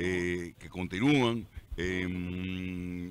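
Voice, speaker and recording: A man's fairly even intonation, dry with no echo, amid noticeable background noise. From Dominican Republic. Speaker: radio announcer. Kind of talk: interview answer. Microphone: studio mic.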